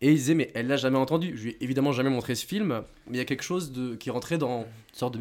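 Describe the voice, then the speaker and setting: In a very clean recording with a silent background, a man speaks very fast at a medium pitch with ordinary pitch variation. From southwestern France. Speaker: film critic. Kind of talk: casual chat. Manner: halting.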